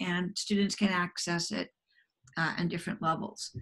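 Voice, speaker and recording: With vocal fry and fairly even intonation, a woman talks at a fairly quick pace over a quiet background. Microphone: video call.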